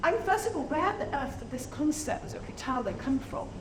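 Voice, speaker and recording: This voice, with an English accent, swings very widely in pitch. Noticeable background noise and audible room echo fill the recording. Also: woman. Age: 60s. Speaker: business founder and speaker. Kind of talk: conference talk. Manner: animated.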